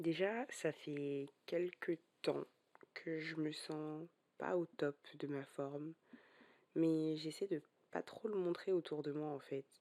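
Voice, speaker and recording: The voice has a dark, mellow tone and fairly even intonation. The pace is very slow. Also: woman. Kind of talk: personal podcast confession.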